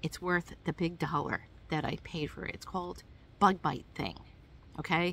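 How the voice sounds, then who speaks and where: A woman speaks with a fairly low pitch and vocal fry. Her intonation is monotone and flat. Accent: American. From New York. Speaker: hiking vlogger. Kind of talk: tutorial. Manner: casual, hesitant with many fillers.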